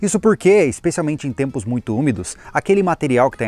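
A man talks at a very fast pace with very wide pitch swings. The sound is dry, with no echo. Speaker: channel host. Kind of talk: tutorial. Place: open country.

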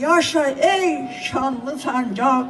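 A woman's high-pitched voice with ordinary pitch variation and crowd noise in the background. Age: 80s+. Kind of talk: poetry reading. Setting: public ceremony at a podium.

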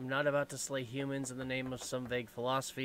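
Fairly quick speech from a man with an unremarkable speaking voice at medium pitch. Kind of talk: let's play commentary. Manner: casual, self-deprecating.

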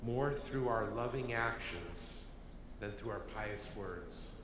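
Slowly, at a very slow pace, a man speaks with ordinary pitch variation amid audible room echo and noticeable background noise. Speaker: deacon or cantor, gospel reader. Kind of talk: liturgical responses and gospel reading. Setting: church. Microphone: podium.

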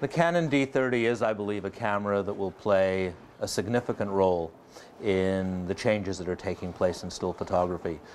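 An unremarkable speaking voice at a moderate pace, with ordinary pitch variation and light background noise. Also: man, fairly low pitch for a man. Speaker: photography reviewer. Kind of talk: presenter commentary. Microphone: lapel.

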